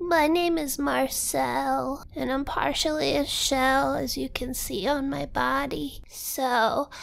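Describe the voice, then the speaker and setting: A woman does a put-on character voice at a fairly slow pace with hardly any pauses over light background noise. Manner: earnest, self-assured, gentle.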